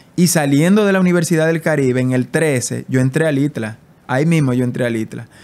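With an unremarkable speaking voice, a man talks at a fairly quick pace and a fairly high pitch. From Dominican Republic, San José de Ocoa; Dominican Republic. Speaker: immigration influencer. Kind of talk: casual interview. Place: home room. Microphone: studio mic.

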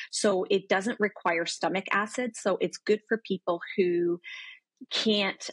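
A woman speaks at a fairly slow pace with ordinary pitch variation. The sound is dry with no echo, against a quiet background. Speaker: remote guest. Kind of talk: interview answer. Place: home room. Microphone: video call.

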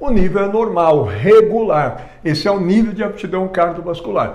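Speaking at a fairly slow pace, a man uses a high voice. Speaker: fitness educator. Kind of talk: lecture. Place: studio. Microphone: lapel.

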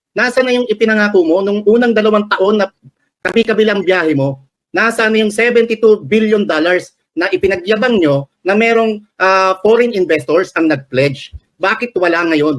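High-pitched male speech with lively intonation at a moderate pace. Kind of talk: commentary on news, opinionated. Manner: earnest, emphatic, halting with fillers.

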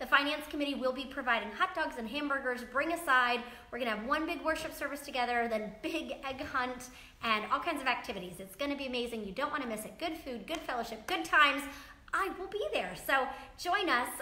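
Raising and projecting her voice, a woman talks at a fairly quick pace with lively intonation amid audible room echo. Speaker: pastor. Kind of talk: sermon. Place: church. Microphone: camera far.

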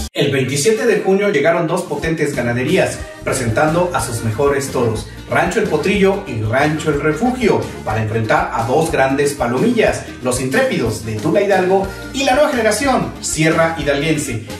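Clear music plays behind a man's fairly high voice. His pitch swings very widely. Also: moderate pace. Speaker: rodeo event video channel host. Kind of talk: casual talk to camera. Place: home room.

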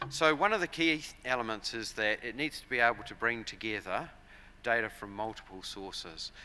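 A man with a New Zealand accent speaks at a moderate pace and medium pitch, in a bright, sharp tone. His loudness swings widely, over light background noise. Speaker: agricultural software company director. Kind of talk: conference presentation. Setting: stage with audience. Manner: frequent fillers and repetitions. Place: hall. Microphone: podium.

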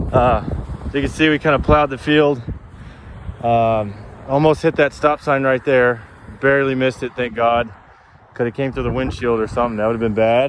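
The speech moves at a fairly quick pace. The sound is dry with no echo, over light background noise. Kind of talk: casual vlog chat. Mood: shaken but relieved. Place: open country. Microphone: phone near.

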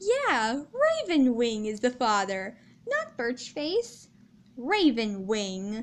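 A put-on character voice that sounds female, pitched high for a woman. The pace is very slow. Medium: fan dub. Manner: hesitant, then firm.

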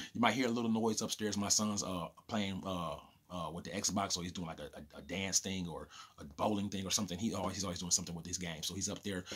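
A man's very deep, low voice moves at a very fast pace. His intonation is fairly even. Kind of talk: casual vlog chat. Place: home room. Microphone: phone near.

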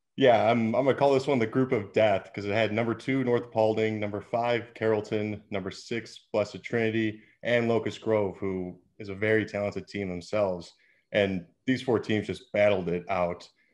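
Against a quiet background, a man uses a normal speaking voice at a fairly low pitch, with fairly even intonation and a moderate pace. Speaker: baseball scout analyst. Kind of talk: commentary. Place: home room. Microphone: video call.

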